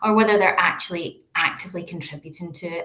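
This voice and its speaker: A woman with a Glaswegian accent at a moderate pace and a fairly low pitch. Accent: Glaswegian Scottish. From Scotland, Glasgow. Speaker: researcher. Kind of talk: lecture.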